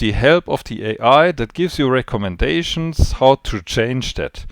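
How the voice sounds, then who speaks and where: A man with a non-native accent speaks at a moderate pace in a dry, close sound with no echo. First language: not English. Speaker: trading educator. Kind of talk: spontaneous video briefing. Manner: halting, searching for words.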